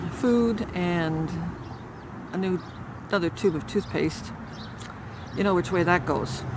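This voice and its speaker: A woman speaks with ordinary pitch variation over noticeable background noise. The sound is dry, with no echo. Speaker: community vlogger. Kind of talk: casual vlog chat. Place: garden. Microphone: phone near.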